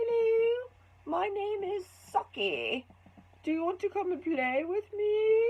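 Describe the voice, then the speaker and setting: A woman's put-on character voice, extremely high in pitch, at a fairly slow pace with long, frequent pauses. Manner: playful.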